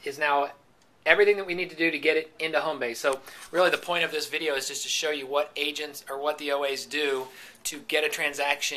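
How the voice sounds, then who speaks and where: A man talking at a very fast pace, his intonation fairly even. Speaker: company trainer. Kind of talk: tutorial. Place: office. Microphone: phone near.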